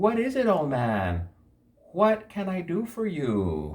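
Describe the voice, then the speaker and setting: In a put-on character voice, a man talks fairly slowly and pitches his voice high. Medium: read story.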